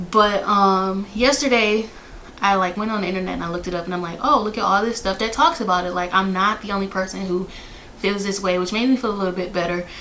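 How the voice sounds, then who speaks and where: This woman's speech is very fast. Background noise can be clearly heard. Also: medium pitch for a woman, ordinary pitch variation. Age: 20s. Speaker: flight attendant. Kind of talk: casual talk to camera.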